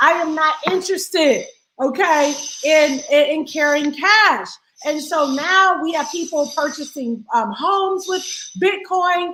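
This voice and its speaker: A woman talks in an extremely high pitch with a raised, projected voice and an animated tone. She goes at a fairly slow pace with ordinary pitch variation. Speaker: financial educator, live streamer. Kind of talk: casual live stream talk. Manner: loud.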